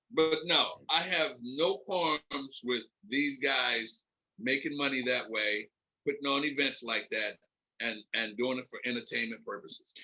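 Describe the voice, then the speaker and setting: A man's fairly high, bright, sharp voice with an American accent, at a fairly slow pace with ordinary pitch variation. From US Northeast (Philadelphia). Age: 70s. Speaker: veteran MMA event coordinator. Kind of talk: podcast interview.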